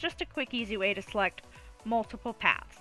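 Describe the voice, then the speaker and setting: Music plays behind a woman who talks at a moderate speed. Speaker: pet photographer. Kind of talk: software tutorial. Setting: home recording, lower audio quality.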